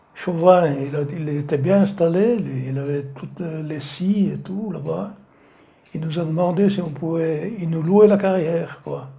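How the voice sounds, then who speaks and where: The man speaks at a very slow pace with a fairly high pitch. Audible room echo surrounds him. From France, Savoie (Maurienne valley). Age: 80s+. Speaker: retired slate quarry worker. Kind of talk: oral history interview. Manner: halting.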